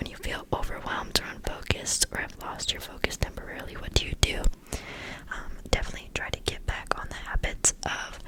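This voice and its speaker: A whisper at a moderate speed comes through noticeable background noise. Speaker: college student; ASMR creator. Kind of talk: ASMR Q&A, close whispering. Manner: whispered.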